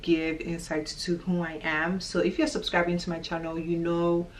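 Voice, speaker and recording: There is noticeable background noise while a woman speaks. Her pitch is fairly low and her pace moderate. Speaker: vlogger. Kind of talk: casual vlog talk to camera. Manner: loud.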